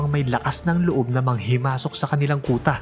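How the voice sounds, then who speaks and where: A man speaks with music in the background. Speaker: voice over artist. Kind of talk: anime recap narration.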